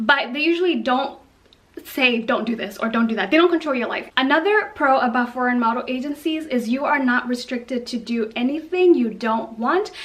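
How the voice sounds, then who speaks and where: A woman's high-pitched voice with lively intonation at a fairly quick pace, over noticeable background noise. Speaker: model and vlogger. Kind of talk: casual talking video. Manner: fast.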